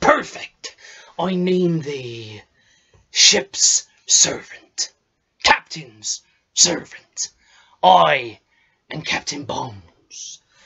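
Using a put-on character voice, a man talks at a very slow pace in a high pitch, leaving long, frequent pauses. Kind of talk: improvised audition self-tape monologue. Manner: boisterous, theatrical.

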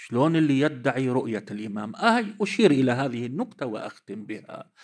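A man speaks fairly slowly, his intonation lively, in a quiet background. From Lebanon. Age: 50s. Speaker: cleric and seminary teacher; seminary teacher. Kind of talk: religious lecture. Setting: conference with audience. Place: hall. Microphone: podium.

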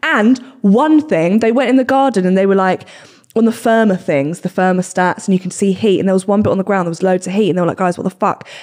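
A woman's voice at a very fast pace with ordinary pitch variation. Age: 20s. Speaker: podcast host. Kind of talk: casual chat. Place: studio. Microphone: studio mic.

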